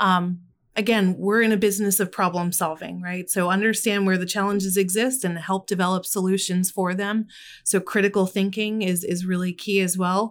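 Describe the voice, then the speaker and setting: A woman with an American accent and a medium pitch talks at a moderate pace in a monotone, flat way, on a very clean recording with a silent background. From Philadelphia. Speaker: technology executive. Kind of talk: casual chat. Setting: studio.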